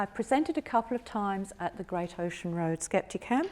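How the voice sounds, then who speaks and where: A woman speaks with a British accent. Her voice sits at a medium pitch. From United Kingdom. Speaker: retired accountant and history student. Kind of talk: conference talk.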